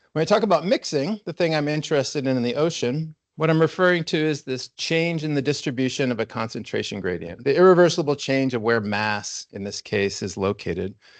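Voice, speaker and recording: Against a quiet background, a man with a fairly high voice talks with hardly any pauses and very wide pitch swings. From US West Coast, San Diego. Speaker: ocean scientist, university researcher. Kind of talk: seminar lecture. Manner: fast.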